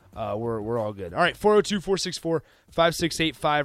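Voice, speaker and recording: On a very clean recording with a silent background, a man with a normal speaking voice and a fairly high pitch talks at a moderate pace. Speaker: radio host. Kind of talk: live radio sports talk show. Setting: studio. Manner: casual, conversational, self-deprecating.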